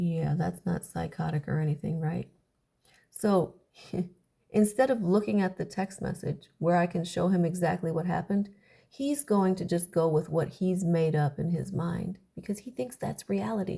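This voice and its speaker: At a fairly low pitch with ordinary variation, a woman speaks at a moderate pace in a somewhat breathy, dark, mellow tone. The recording is very clean and the background silent. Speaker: YouTuber sharing personal experience. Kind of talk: personal monologue. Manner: sarcastic.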